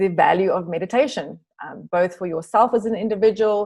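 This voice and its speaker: This woman talks with a South African accent and ordinary pitch variation. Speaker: meditation teacher, retreat center co-director. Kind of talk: online class introduction.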